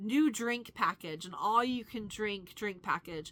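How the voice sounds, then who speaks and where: A woman's bright, sharp tone, fairly slow and fairly even in intonation, on a very clean recording with a silent background. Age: 40s. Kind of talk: casual storytime talk to camera.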